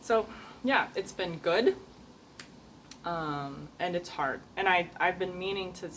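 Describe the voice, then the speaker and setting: A woman speaks very slowly at a fairly low pitch, with ordinary pitch variation. Long, frequent pauses break up her speech. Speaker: video journaler. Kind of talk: video journal monologue. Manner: halting, many fillers.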